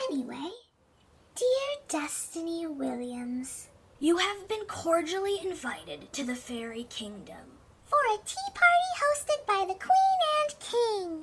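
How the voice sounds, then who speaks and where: An extremely high pitch swings very widely in this put-on character voice. It moves at a fairly slow pace. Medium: audio drama. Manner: quarrelsome, fussy.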